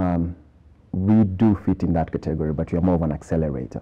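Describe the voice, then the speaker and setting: Here a man speaks with lively intonation. His pitch is very deep and low. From Kenya. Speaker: tech startup incubator executive. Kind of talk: TV interview. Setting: TV studio. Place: studio. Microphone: lapel.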